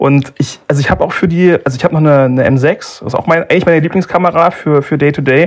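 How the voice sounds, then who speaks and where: A man's fairly high voice at a very fast pace over noticeable background noise. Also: fairly even intonation. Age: 20s. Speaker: analog photographer. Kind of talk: casual chat.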